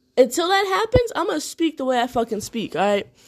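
The speaker has an American accent. The pace is fairly quick. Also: woman. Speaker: podcast host. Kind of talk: casual monologue.

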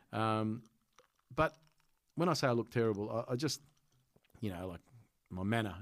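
A man with a medium pitch speaks at a moderate pace. The recording is very clean, with a silent background. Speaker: comedian. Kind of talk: casual chat.

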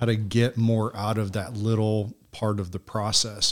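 A man speaks in a flat, monotone way with an American accent. The recording is very clean, with a silent background. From Michigan and Pennsylvania, US. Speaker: ministry organization director. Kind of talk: interview conversation.

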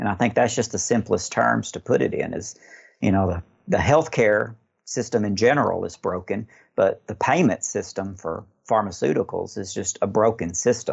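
A man with an American accent speaks at a fairly low pitch. His voice is somewhat breathy, and his pace moderate. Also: ordinary pitch variation. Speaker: pharmacist. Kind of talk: interview.

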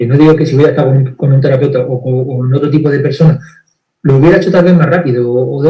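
A man with a fairly high pitch speaks at a very fast pace, somewhat breathy. His intonation is fairly even, and audible room echo surrounds him. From Andalusia, Spain (Granada). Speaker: therapist. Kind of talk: video interview. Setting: live stream.

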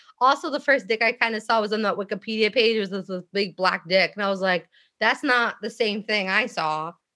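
A woman talks at a fairly quick pace in a fairly high, bright, sharp voice. Her pitch varies in an ordinary way against a quiet background. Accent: American. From Philadelphia, US. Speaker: radio show co-host guest. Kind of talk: casual chat.

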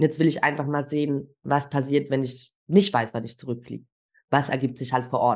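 With a very deep, low pitch, a woman speaks at a moderate pace and with fairly even intonation. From Germany. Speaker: travel guide and entrepreneur. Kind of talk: interview conversation.

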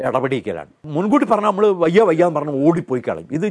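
A fairly high-pitched man's voice moves through very wide pitch swings in a dry, close sound with no echo. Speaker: retired schoolteacher and science movement activist. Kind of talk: interview.

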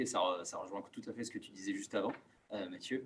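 A man is speaking. His pace is fairly quick. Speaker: business school student. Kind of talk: group discussion.

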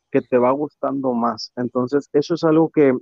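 A man speaks at a medium pitch. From Mexico, Tampico, Tamaulipas. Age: 20s. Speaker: engineer and youth community leader. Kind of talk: interview. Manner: hesitant, many filler words.

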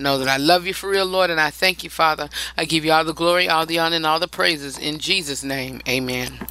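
Speaking at a very fast pace, a man with a fairly high pitch comes through over noticeable background noise. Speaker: radio host. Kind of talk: radio dj patter, upbeat show-host banter; opening prayer. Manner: conversational, emphatic, repeats lines for effect.

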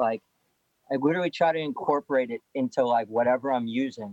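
Using a normal speaking voice, a man with an American accent talks at a moderate pace and fairly high pitch with lively intonation. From Lowell, Massachusetts. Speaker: pro skateboarder. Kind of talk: casual interview.

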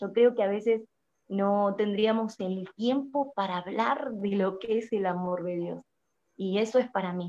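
A woman talks at a fairly slow pace in a medium pitch, her tone dark and mellow. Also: ordinary pitch variation. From Argentina. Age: 20s. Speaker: prophet and social media preacher. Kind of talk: interview testimony. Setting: live video stream. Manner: hesitant, many fillers.

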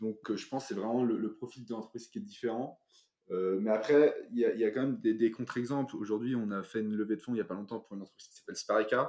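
Very fast, medium-pitched man with a dark, mellow tone, fairly even intonation and big swings in loudness. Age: 20s. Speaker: financial analyst. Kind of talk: interview.

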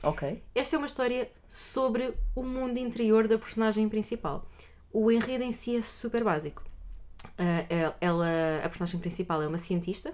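Speaking with a European Portuguese accent, a woman uses a fairly high pitch and lively intonation. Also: moderate pace. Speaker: podcast co-host. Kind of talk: casual chat.

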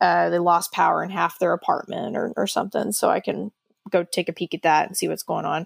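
A woman talks at a fairly quick pace, her sound dry and close with no echo. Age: 20s. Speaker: HVAC technician. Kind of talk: casual chat.

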